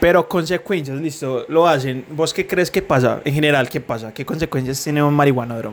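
A man with an ordinary speaking voice talks at a moderate pace, his pitch fairly high with ordinary variation. He barely pauses, and the very clean recording has a silent background. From Colombia, Medellín. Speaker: podcast co-host. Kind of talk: casual chat.

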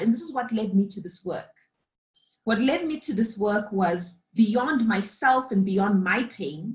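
A woman's fairly slow, somewhat breathy delivery. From Zimbabwe. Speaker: leadership coach and facilitator. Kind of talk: reflective interview conversation.

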